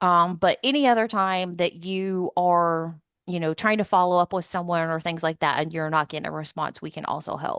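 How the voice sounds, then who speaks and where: Here a woman has an ordinary speaking voice, pitched fairly low. She talks at a fairly quick pace, and the sound is dry and close with no echo. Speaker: defense agency small business liaison. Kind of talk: webinar presentation.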